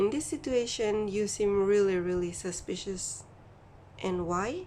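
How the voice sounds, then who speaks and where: At a very slow pace, a woman with a non-native accent speaks at a medium pitch. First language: not English. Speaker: tarot reader. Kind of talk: tarot reading monologue. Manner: halting.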